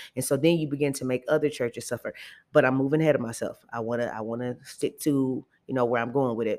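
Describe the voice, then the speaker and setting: A woman's very deep, low voice in an animated tone at a very fast pace. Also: very clean recording, silent background. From Detroit, Michigan (west side). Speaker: podcast host and educator. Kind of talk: solo podcast monologue.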